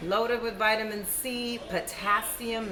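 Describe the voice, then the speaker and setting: A woman speaks in a fairly high pitch. Audible room echo and noticeable background noise are present. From Cuba. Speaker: cooking video host. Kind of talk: cooking tutorial. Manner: casual, chatty.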